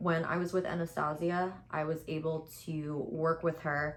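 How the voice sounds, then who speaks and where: This woman has a fairly low pitch and an American accent. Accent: slight New York accent, mostly suppressed. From New York City (Queens). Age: 20s. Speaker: beauty content creator. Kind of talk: casual chat with makeup tutorial. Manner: tries to speak properly, self-described as robotic.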